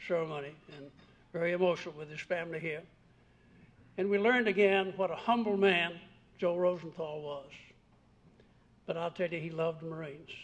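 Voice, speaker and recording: A high-pitched man with fairly even intonation, broken by long, frequent pauses. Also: fairly quick pace. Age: 90s. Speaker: war veteran and retired general. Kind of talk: commemorative speech.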